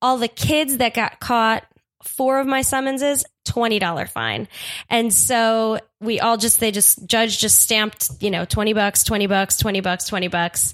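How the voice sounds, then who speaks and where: With an American accent, a woman speaks at a fairly high pitch with ordinary pitch variation, in an ordinary speaking voice. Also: fairly slow pace, very even loudness, very clean recording, silent background. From Staten Island, New York. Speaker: comedian and improviser. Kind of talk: casual storytelling chat.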